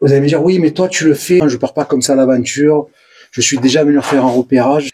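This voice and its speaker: Speaking at a very fast pace in a Provençal accent, a man with a fairly high pitch and a dark, mellow tone keeps his loudness very even and his intonation fairly even. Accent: southern French (Provence). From Provence, southern France. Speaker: urban explorer vlogger. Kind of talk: casual vlog narration. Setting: abandoned building, on location.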